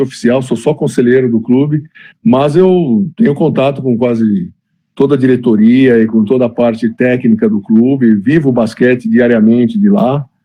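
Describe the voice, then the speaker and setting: Here is a plain, everyday voice. Its intonation is lively, at a medium tempo. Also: man. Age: 60s. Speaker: former basketball player and club director. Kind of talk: interview.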